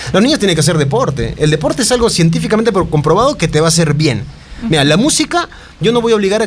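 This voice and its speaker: Over noticeable background noise and audible room echo, a man talks at a very fast pace with lively intonation. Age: 30s. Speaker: singer-songwriter. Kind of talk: casual chat. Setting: studio.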